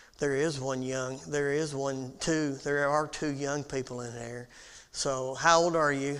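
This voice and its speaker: This man talks at a fairly slow pace, with audible room echo around his voice. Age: 60s. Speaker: Bible class teacher. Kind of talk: Bible class lecture. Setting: church auditorium. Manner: halting, with many fillers.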